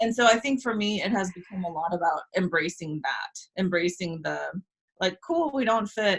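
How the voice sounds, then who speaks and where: Somewhat breathy delivery at a moderate pace with ordinary pitch variation. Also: woman, medium pitch for a woman. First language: Spanish. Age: 30s. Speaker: business coach. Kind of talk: casual interview.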